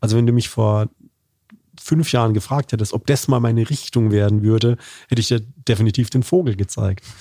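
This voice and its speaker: Dry and close with no echo, this very clean recording with a silent background captures a man's medium-pitched voice with a dark, mellow tone. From Baden, southwestern Germany. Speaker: corporate communications manager and lecturer. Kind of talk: interview conversation.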